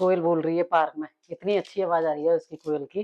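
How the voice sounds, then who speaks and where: A woman's fairly low, dark and mellow voice in a dry, close sound with no echo. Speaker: daily-life vlogger. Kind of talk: casual vlog chat while cooking.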